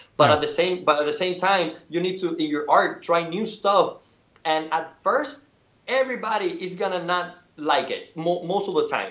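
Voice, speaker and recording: A man with a Spanish accent speaks at a moderate pace. His pitch is high, with ordinary variation. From Cuba. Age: 30s. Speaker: painter. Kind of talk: interview. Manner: halting, many repetitions.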